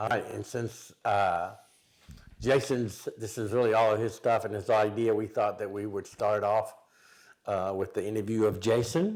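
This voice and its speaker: Against a very clean recording and silent background, a man with an unremarkable speaking voice talks at a moderate pace, fairly low in pitch and with fairly even intonation. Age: 60s. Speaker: podcast co-host and motivational speaker. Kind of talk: casual chat.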